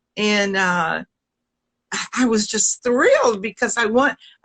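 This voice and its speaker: Speaking fairly slowly in a Southern US accent, a woman has a fairly high voice with a bright, sharp tone, an animated tone and ordinary pitch variation, in a dry, close sound with no echo. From US South. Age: 70s. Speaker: singer. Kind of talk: casual chat.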